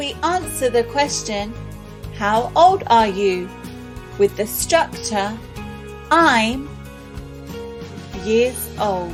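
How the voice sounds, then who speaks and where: A woman at a very slow pace, with long, frequent pauses and music in the background. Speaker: English teacher. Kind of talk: ESL lesson narration. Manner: slow, clear.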